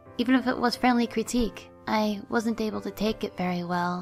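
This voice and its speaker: Music plays underneath. Over it, a woman talks. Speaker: artist. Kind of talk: personal life story narration. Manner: volume keeps shifting louder and quieter.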